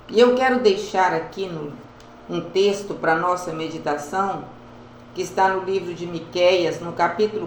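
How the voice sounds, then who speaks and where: Speaking very slowly at a medium pitch with ordinary pitch variation, a woman is heard over noticeable background noise and audible room echo. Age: 70s. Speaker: evangelical preacher. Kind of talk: devotional talk.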